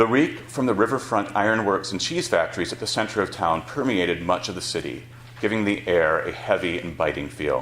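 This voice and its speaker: With an American accent, a man speaks at a fairly quick pace in a fairly low pitch, his intonation lively. Audible room echo and noticeable background noise surround him. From Wisconsin, Beloit. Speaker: author. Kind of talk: reading aloud. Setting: stage with audience.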